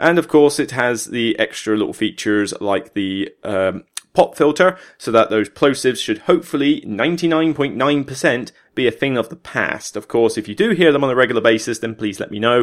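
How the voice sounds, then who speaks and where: A man with a Somerset accent at medium pitch and a fairly quick pace, very cleanly recorded against a silent background. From Somerset, England. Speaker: podcast host, board game reviewer. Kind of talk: solo podcast monologue. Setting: home recording with desk microphone. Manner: casual, chatty.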